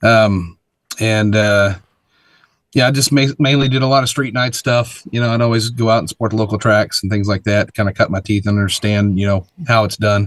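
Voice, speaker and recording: A man with a Texan accent, fairly low pitch, fairly even intonation, and a fairly quick pace. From North Texas. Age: 40s. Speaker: drag racing event organizer. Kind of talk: interview.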